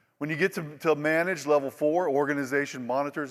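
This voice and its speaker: On a very clean recording with a silent background, a man with an Oklahoma accent talks at a fairly quick pace. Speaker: industry presenter. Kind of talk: conference presentation. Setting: stage with audience. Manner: animated, repetitive stammering.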